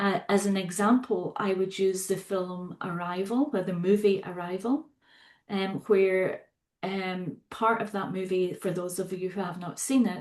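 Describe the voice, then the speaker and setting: A woman speaks at medium pitch with a Scottish accent. Her intonation is fairly even and her pace fairly slow. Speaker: psychotherapist and facilitator. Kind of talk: podcast interview.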